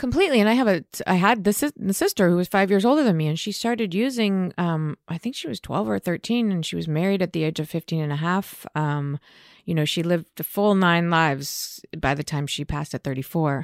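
With an ordinary speaking voice, a woman with an American accent talks at a fairly quick pace and fairly low pitch, her intonation lively and the sound dry and close with no echo. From Los Angeles, US West Coast. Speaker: recovering addict sharing her story. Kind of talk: casual interview chat.

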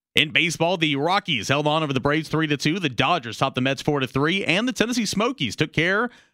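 Bright and sharp in tone, a man's voice carries vocal fry and very wide pitch swings at a fairly quick pace. The recording is very clean, with a silent background. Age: 20s. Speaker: sports radio co-host. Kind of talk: sports news reading.

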